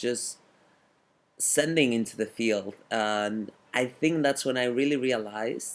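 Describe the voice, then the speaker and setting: On a very clean recording with a silent background, the speech holds fairly even intonation. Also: man. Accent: Spanish. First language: Spanish. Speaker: fitness coach and cycling instructor. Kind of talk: interview conversation.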